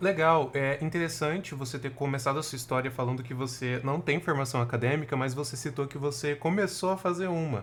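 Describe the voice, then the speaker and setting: A man speaks at a fairly quick pace with a somewhat breathy sound. His pitch sits fairly high. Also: ordinary pitch variation, hardly any pauses. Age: 20s. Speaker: podcast co-host, project manager. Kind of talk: casual chat.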